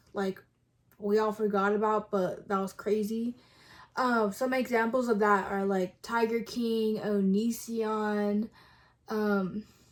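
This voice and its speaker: At a very slow pace, a woman with an American accent speaks in a fairly high pitch with flat, monotone intonation. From Texas (Kerrville). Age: 20s. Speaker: YouTuber. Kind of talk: casual vlog intro. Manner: hesitant with many fillers.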